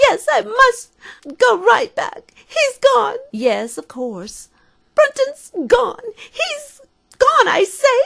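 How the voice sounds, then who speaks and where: A woman's put-on character voice at a very slow pace. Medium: audio drama. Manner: disjointed, repeating herself.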